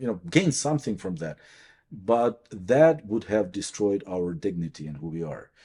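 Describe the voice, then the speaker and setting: A man with a Ukrainian accent speaks at a moderate pace in a fairly low pitch, his tone dark and mellow. His pitch swings very widely and his loudness shifts in big swings, against a quiet background. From Ukraine. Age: 40s. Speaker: priest and professor. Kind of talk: interview. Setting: on campus. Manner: halting.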